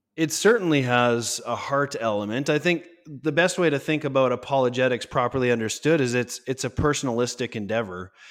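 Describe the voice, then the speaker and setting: A man with an unremarkable speaking voice talks at a medium pitch and a fairly quick pace, with hardly any pauses. The recording is very clean, the background silent. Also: ordinary pitch variation. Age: 30s. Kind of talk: interview.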